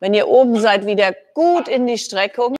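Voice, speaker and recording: A woman speaks with music in the background. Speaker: fitness trainer. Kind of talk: workout instruction. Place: gym.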